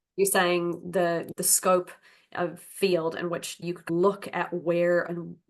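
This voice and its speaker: A woman is speaking. Her intonation stays monotone and flat. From United States. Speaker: tech community member. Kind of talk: casual chat.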